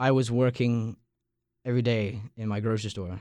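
His tone is dark and mellow. The man's pitch sits fairly low. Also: quiet background. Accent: Long Island. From Long Island, New York. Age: young. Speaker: college radio podcast host, student. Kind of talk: casual chat. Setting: studio.

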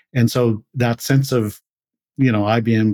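A man with a Canadian Prairie accent speaks fairly slowly in a dark, mellow, medium-pitched voice with fairly even intonation, on a very clean recording with a silent background. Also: dry, close sound with no echo. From rural Manitoba, Canada. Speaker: tech company CEO and co-founder. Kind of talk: interview.

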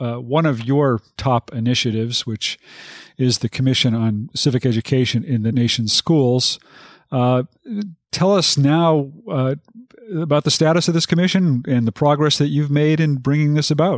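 A normal speaking voice from a man, fairly high in pitch with ordinary variation, very even loudness and a fairly slow pace, on a very clean recording with a silent background and a dry, close sound with no echo. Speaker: legal podcast host. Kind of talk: interview.

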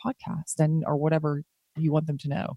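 An American-accented woman with fairly low pitch, in a dry, close sound with no echo. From US South. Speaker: podcast host. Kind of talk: casual interview chat.

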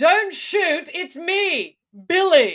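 Using a put-on character voice, a woman speaks loudly at an extremely high pitch. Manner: loud, clear, projected.

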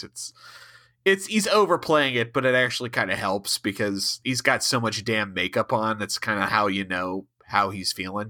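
This man speaks with an Ohio accent. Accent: Ohio, says fur for for. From US Midwest, Ohio. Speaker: podcast host. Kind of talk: casual chat.

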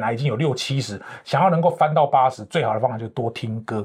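A man speaks at a fairly quick pace with a somewhat breathy voice and lively intonation. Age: 50s. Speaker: professional corporate trainer and author. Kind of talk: interview.

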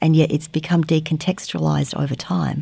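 With an Australian accent, a woman speaks at a fairly quick pace in a very deep, low, somewhat breathy voice with a dark, mellow tone. The recording is very clean, with a silent background. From Australia, Melbourne suburbs. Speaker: trauma therapist and educator. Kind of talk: interview.

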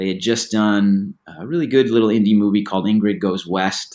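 With an American accent, a man in a normal speaking voice talks at a fairly quick pace with a fairly low pitch and ordinary pitch variation, on a very clean recording with a silent background. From US Midwest, Batavia, Illinois (Chicago suburb). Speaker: author and screenwriter. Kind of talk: interview.

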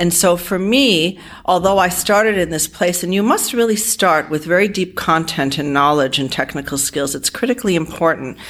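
The speech runs at a moderate pace with lively intonation and hardly any pauses, against noticeable background noise. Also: woman, fairly low pitch for a woman. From US Northeast, Providence, Rhode Island. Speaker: accounting firm partner. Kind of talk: interview.

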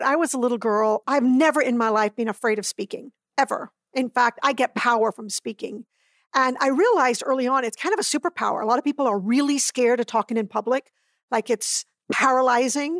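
This woman has a high pitch and ordinary pitch variation, talking at a fairly quick pace in a dry, close sound with no echo against a quiet background. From Barbados. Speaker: trial lawyer. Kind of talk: interview.

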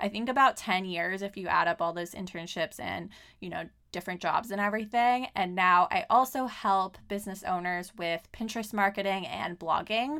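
In a very clean recording with a silent background, a woman with a Californian accent speaks at a moderate pace in a bright, sharp tone with ordinary pitch variation. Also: medium pitch for a woman. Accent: Californian American English. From Southern California. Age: 30s. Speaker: podcast host and life coach. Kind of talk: casual solo monologue.

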